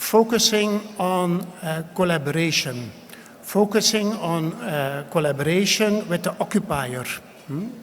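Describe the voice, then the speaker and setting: A man with a Flemish accent, high-pitched, at a fairly slow pace, with ordinary pitch variation. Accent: Belgian (Flemish) English. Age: 60s. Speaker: ambassador. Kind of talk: speech. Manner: hesitant, many filler sounds.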